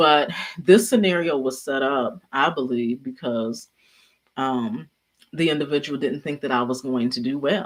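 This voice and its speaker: A woman speaks quietly at a fairly slow pace, her very deep, low voice carrying lively intonation. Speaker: YouTuber and leadership speaker. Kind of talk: casual livestream talk. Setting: at home, livestream. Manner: quiet-spoken, low volume.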